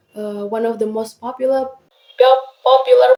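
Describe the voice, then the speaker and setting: A woman speaks with an Indonesian accent. Her intonation stays fairly even. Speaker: university student podcaster. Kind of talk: casual podcast monologue. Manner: hesitant, frequent filler words.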